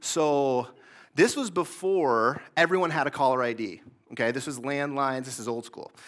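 At a moderate pace and fairly high pitch, a man with an Upper Midwest accent shows ordinary pitch variation and big swings in loudness on a very clean recording with a silent background. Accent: Upper Midwest American. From Michigan, Greater Lansing area. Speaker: pastor. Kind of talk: sermon.

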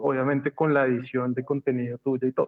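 A man speaks at a fairly quick pace in a plain, everyday voice with a fairly high pitch. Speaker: university design department head. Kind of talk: casual brainstorming panel.

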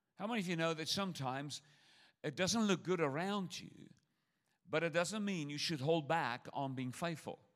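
On a very clean recording with a silent background, a man with a high pitch speaks at a moderate pace with ordinary pitch variation. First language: not English. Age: 60s. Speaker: traveling preacher. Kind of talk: sermon. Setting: church with audience. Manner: animated.

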